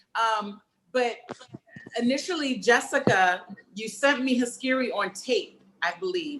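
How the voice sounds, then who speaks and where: A woman with a New York accent, high-pitched and animated, with lively intonation at a fairly slow pace and long, frequent pauses. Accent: New York twang. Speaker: filmmaker and actor leading a cast discussion. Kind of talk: casual panel discussion.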